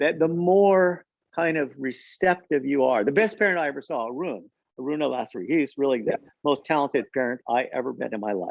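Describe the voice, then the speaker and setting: An unremarkable speaking voice with lively intonation moves at a fairly quick pace. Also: man, fairly high pitch for a man. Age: 60s. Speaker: parenting expert. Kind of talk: conversational discussion.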